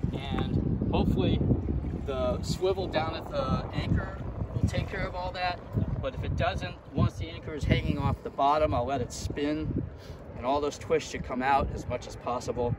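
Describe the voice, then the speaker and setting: Loud noise fills the background as a man speaks at a moderate speed. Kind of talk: tutorial. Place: boat.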